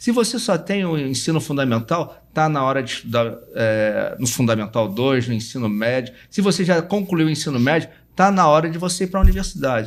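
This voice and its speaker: With hardly any pauses, a man speaks at a moderate pace and a fairly high pitch, his pitch swinging very widely. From Rio de Janeiro, Brazil. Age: 60s. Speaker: university administrator and educator. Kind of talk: interview self-introduction and appeal. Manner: halting, some repetitions.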